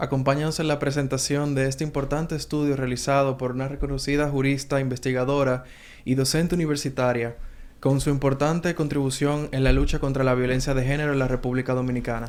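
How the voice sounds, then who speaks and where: A man's fairly high voice, monotone and flat, at a very fast pace. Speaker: TV host. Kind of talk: TV interview questions.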